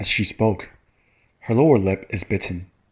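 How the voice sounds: At a moderate pace, a man talks in a fairly low voice with a slightly husky edge.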